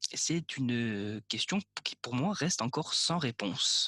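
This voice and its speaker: Bright and sharp in tone, a man's medium-pitched voice swings very widely in pitch and shows vocal fry. The sound is dry and close with no echo, in a very clean recording with a silent background. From Corsica. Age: 20s. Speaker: film student telling his story. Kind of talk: personal storytelling monologue. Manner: casual, joking.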